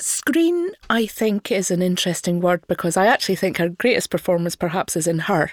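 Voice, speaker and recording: A woman's medium-pitched voice with a Scottish accent at a fairly quick pace, with hardly any pauses and very even loudness, in a very clean recording with a silent background and a dry, close sound with no echo. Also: ordinary pitch variation. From Scotland, not Glasgow. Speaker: podcast co-host, film reviewer. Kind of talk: casual film discussion.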